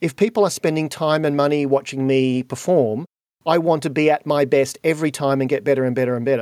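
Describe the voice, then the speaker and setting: Very fast and fairly high-pitched, a man with an Australian accent speaks in a dry, close recording with no echo. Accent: Australian, said to sound a bit posh. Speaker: podcast host and keynote speaker. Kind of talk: interview conversation. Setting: video call.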